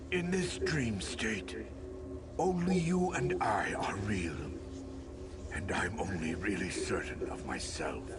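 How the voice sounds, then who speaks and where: A man in a cartoonish character voice at a fairly slow pace, over loud background noise. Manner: paternal, measured.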